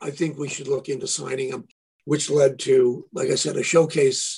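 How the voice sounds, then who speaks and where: A man with a fairly high pitch and ordinary pitch variation talks in a somewhat breathy voice. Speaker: guitarist and producer. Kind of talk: casual interview chat.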